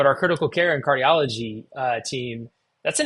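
A man with an American accent and a normal speaking voice, medium pitch, ordinary pitch variation and a moderate pace, against a quiet background. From Texas. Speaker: cardiologist and telemedicine executive. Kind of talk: interview.

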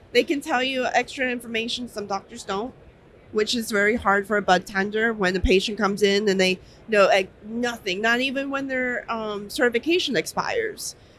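Speaking in an ordinary speaking voice with an American accent, the speaker keeps a moderate pace and ordinary pitch variation. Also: woman, fairly high pitch for a woman. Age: 20s. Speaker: dispensary worker. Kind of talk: interview. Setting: trade show floor.

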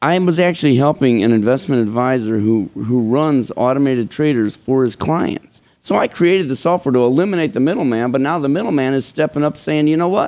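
A man with an American accent speaks in an ordinary speaking voice at a fairly high pitch. His intonation is lively while his loudness stays very even. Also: fairly quick pace, hardly any pauses. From Chicago. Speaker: stock trading software developer. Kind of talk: interview.

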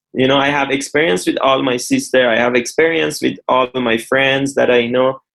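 Speaking with a Persian accent, a man holds a fairly high pitch and fairly even intonation. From Iran. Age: 30s. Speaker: real estate developer and former footballer. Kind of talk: interview.

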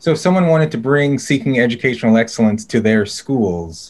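A man talks at a moderate pace in a plain, everyday voice. His pitch is medium, with ordinary variation. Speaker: podcast host, think tank fellow. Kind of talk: interview hosting.

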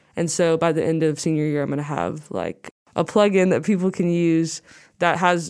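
A fairly low-pitched woman's voice with fairly even intonation. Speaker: university student and singer-songwriter. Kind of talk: casual interview chat.

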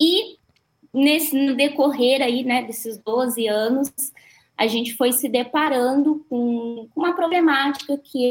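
Her voice is high-pitched, with ordinary pitch variation, as the woman speaks at a very slow pace. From Cruzeiro, interior São Paulo, Brazil. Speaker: NGO founder, support line coordinator. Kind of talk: panel discussion on live podcast.

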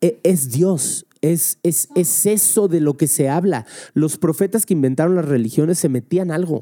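A man talks at a fairly slow pace in a dark, mellow tone with a fairly high pitch and ordinary pitch variation. His loudness stays very even, with hardly any pauses, in a dry, close sound with no echo. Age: 30s. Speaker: comedian and podcast host. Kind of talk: casual chat.

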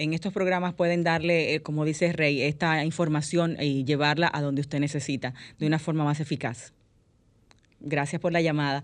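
Over a quiet background, a woman with a very deep, low pitch speaks at a moderate pace with fairly even intonation. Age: 40s. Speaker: radio host. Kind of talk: casual chat.

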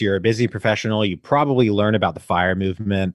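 A man speaks in a plain, everyday voice at medium pitch and a moderate pace, with ordinary pitch variation, a dry, close sound with no echo, and a quiet background. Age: 30s. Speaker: real estate investor and podcaster. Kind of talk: interview.

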